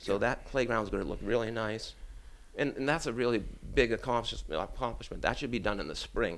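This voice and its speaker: Speaking very fast with a Boston accent, a man keeps a medium pitch and ordinary pitch variation. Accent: Boston-area American. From Brockton, Massachusetts. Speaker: city councilor and political candidate. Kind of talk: campaign interview.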